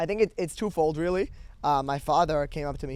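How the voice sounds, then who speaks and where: A man talks at a very fast pace in a fairly high pitch. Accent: American. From US, Brooklyn, New York. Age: 18. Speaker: podcast host being interviewed. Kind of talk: interview. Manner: halting.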